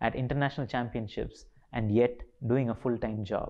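A man talks fairly quickly, his pitch varying in an ordinary way, with a quiet background behind him. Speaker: speaker. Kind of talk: motivational talk. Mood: calm, reflective, determined. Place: studio.

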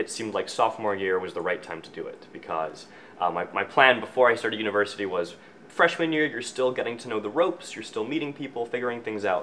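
The speaker talks at a very fast pace in a Canadian accent, with lively intonation. Light background noise can be heard. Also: man. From Scotland, raised in Canada. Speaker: student filmmaker. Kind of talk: interview answer. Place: office.

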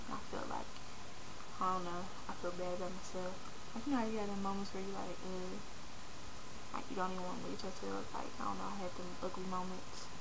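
A woman speaks with long, frequent pauses. Loud background noise runs behind her. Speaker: video blogger. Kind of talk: personal vlog rant. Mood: frustrated, venting. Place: home room. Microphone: webcam.

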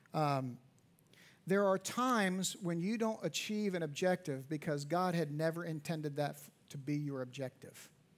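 A man speaks in an unremarkable speaking voice, pitched fairly high. His loudness swings widely. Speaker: pastor. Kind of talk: church sermon. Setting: church auditorium. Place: church.

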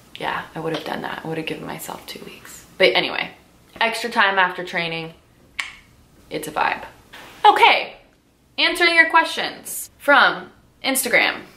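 Speaking with an American accent at a moderate pace, a woman leaves long, frequent pauses amid audible room echo. Her pitch swings very widely, and her loudness shifts in big swings. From US West Coast (Southern California, Orange County); Southern California. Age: 30s. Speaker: lifestyle vlogger and yoga teacher; lifestyle vlogger, yoga teacher. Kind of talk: casual sit-down chat to camera. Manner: animated. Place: home room.

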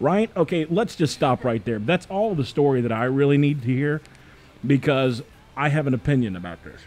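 A man talks at a moderate pace in a fairly high pitch with lively intonation. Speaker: radio show host. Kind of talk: casual chat. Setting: studio. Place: studio. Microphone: studio mic.

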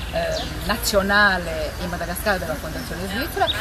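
Over loud background noise, a woman speaks at a moderate pace. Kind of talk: ceremonial speech. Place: garden.

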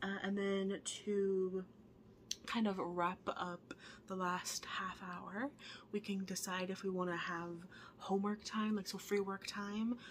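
A woman speaks with fairly even intonation. Light background noise is audible. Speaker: teacher. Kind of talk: classroom instructions on video call. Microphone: webcam.

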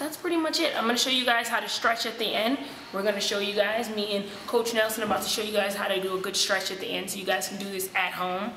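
A woman at a very fast pace with ordinary pitch variation, audible room echo and light background noise. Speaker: vlog host. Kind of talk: casual vlog chat. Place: gym. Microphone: camera far.

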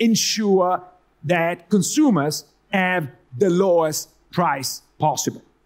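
A man with an Italian accent speaks at a very slow pace. The background is quiet. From Italy. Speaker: economics professor. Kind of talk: conference talk. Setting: stage with audience. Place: hall. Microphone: headset.

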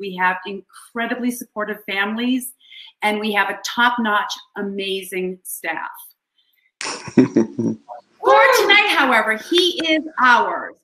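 The speech moves at a fairly slow pace. Audible room echo surrounds it over a quiet background. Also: woman. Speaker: school parent club president. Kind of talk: welcome speech at school fundraising event. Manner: casual, with filler words. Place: home room. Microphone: webcam.

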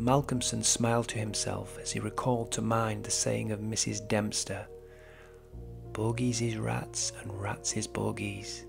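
A man at a fairly slow pace with music in the background. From Britain. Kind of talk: audiobook horror story narration.

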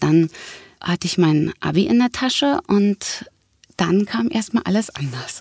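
The pitch swings very widely at a fairly slow pace, in a dry, close sound with no echo. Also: woman. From Berlin. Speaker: actress and voice actress. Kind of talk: casual interview.

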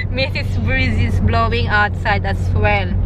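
Loud background noise accompanies a woman talking at a fairly slow pace, with a dry sound and no echo. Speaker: vlogger. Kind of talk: casual vlog chat. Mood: cheerful, playful. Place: car. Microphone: phone near.

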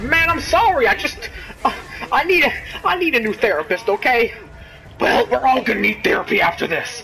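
A fairly quick pace with very wide pitch swings and very even loudness, over noticeable background noise. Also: man. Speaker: gaming video creator. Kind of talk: casual gameplay commentary. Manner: animated, excitable; puts on a mock Brooklyn accent for a character.

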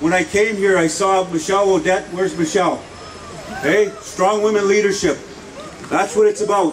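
Amid noticeable background noise, a man with a high pitch speaks at a moderate pace, with very even loudness, fairly even intonation and long, frequent pauses. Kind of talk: rally speech. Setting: outdoor rally with audience. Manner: fiery, repetitive rallying cries. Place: street.

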